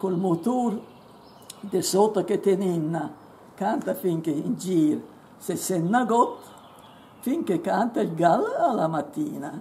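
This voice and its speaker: Very slow and lively in intonation, a woman speaks at a medium pitch with a dark, mellow tone. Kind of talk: poetry reading.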